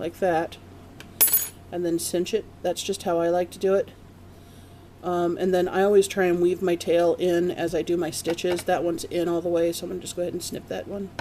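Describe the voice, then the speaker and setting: A woman talks fairly quickly at a fairly low pitch in a flat monotone. Noticeable background noise runs underneath. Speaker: crochet instructor. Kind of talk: tutorial. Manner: casual.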